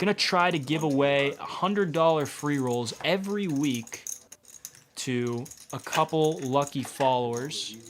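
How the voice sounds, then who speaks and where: Over noticeable background noise, a man with an American accent talks at a fairly slow pace, his fairly high pitch showing ordinary variation. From Massachusetts, New England. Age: 20s. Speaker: poker commentator. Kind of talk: live commentary. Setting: commentary booth.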